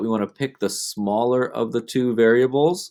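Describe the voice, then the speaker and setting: Here a man has an unremarkable speaking voice at a medium pitch with ordinary pitch variation. He goes at a moderate pace on a very clean recording with a silent background. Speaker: math teacher. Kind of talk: tutorial.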